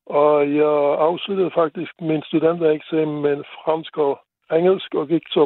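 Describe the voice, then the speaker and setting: A man's fairly high voice at a fairly slow pace, monotone with flat intonation. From Luxembourg. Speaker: caller, mechanical engineer. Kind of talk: phone-in chat.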